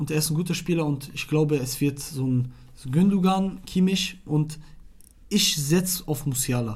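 Somewhat breathy, a man speaks at a moderate pace with ordinary pitch variation, and audible room echo surrounds his voice. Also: fairly high pitch for a man. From Iraq. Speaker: football podcast co-host. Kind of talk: casual chat.

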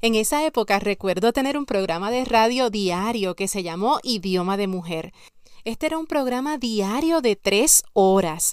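An ordinary speaking voice moves at a fairly slow pace with lively intonation. The recording is very clean with a silent background. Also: woman, fairly high pitch for a woman. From Puerto Rico, San Sebastián. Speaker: podcast host and life coach. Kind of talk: motivational podcast monologue.

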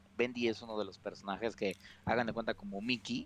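A man with a Mexican accent speaks in a medium pitch, his intonation flat and monotone. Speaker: video game podcast host. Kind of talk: casual chat.

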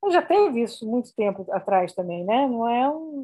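A woman talks at a fairly slow pace with a fairly high pitch. Her pitch swings very widely. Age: 60s. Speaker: film editor and university professor. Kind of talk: interview.

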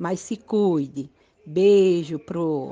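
With lively intonation, a woman speaks in a medium pitch and a dark, mellow tone. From Brazil, Northeast (Pernambuco). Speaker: adult education student. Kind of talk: recorded voice message.

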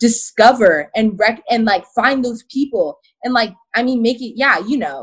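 Somewhat breathy speech comes with an American accent. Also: woman. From Arizona. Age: 20s. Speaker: activist and content creator. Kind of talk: casual interview.

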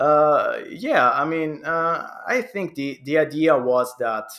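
In a very clean recording with a silent background, a man with an Italian accent speaks at a fairly slow pace with ordinary pitch variation. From Italy. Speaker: video game historian. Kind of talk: casual interview.

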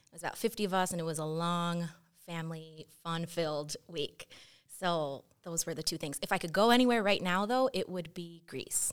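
At a moderate pace, a woman with an American accent and a fairly low pitch uses an ordinary speaking voice with ordinary pitch variation, on a very clean recording with a silent background. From Chicago area. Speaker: assistant principal. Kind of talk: casual chat.

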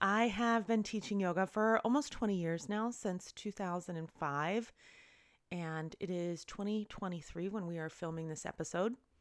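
An unremarkable speaking voice from a woman at a fairly slow pace. The recording is very clean, with a silent background. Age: 40s. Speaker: yoga teacher and podcast host. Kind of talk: personal storytelling monologue. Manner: casual, with laughs and filler words.

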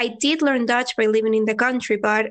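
A woman speaks with a Venezuelan accent at a moderate pace. Her voice sits fairly high, with ordinary pitch variation. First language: Spanish. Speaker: language-learning YouTuber and teacher. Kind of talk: casual interview chat.

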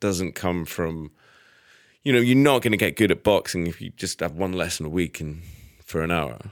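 A man speaks with a Scottish accent. His pitch is very deep and low, and his intonation is lively. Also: dry, close sound with no echo, very clean recording, silent background. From Scotland, Edinburgh. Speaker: chef. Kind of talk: casual chat. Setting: studio.

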